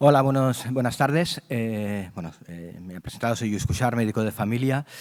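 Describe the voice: A man speaks with ordinary pitch variation and a slightly mellow tone.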